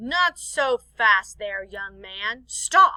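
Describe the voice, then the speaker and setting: With very wide pitch swings, a put-on character voice comes through in a dry, close sound with no echo. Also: woman. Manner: gruff, commanding.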